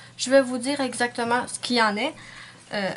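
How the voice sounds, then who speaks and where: Against noticeable background noise, a woman speaks in a high pitch with a Quebec accent. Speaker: nail art YouTuber. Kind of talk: casual vlog monologue. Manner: hesitant, many fillers.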